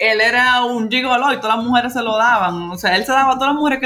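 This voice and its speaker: Bright and sharp in tone, a woman speaks in a high voice. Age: young. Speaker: podcast co-host. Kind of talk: casual chat.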